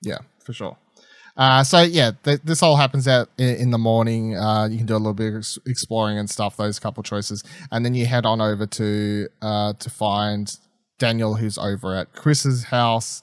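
On a very clean recording with a silent background, a man with an Australian accent talks at a moderate pace, his medium pitch showing ordinary variation. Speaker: podcast host. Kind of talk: casual chat.

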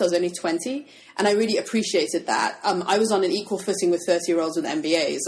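A woman at a medium pitch, talking at a very fast pace with very wide pitch swings over noticeable background noise. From UK. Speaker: sewing pattern designer and blogger. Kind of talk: casual interview chat. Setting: studio office in a fabric shop.

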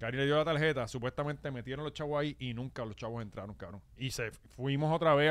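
A man in a Puerto Rican accent, fairly high in pitch, with ordinary pitch variation and a very fast pace. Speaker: podcast host. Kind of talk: casual chat. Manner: animated.

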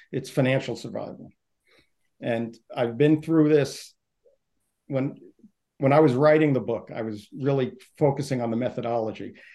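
A man with a New York accent speaks at a moderate pace in a medium pitch. His tone is dark and mellow, with long, frequent pauses. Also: ordinary pitch variation. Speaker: author and sales consultant. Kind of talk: interview.

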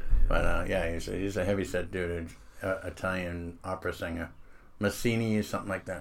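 Speaking in a Boston accent, a man has a very deep, low pitch. He goes at a fairly quick pace with monotone, flat intonation. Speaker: comedian, former military contractor. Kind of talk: casual chat.

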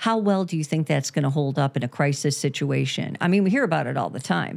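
On a very clean recording with a silent background, a woman with a very deep, low pitch talks at a very fast pace with lively intonation. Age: 60s. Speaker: therapist and podcast host. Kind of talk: casual chat.

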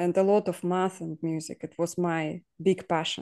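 Someone with a Russian accent speaks fairly slowly in a monotone, flat way. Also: woman. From southern Ukraine (Kherson area), Russian-speaking. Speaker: guest from Ukraine. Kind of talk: casual interview. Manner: halting, many fillers and laughs.

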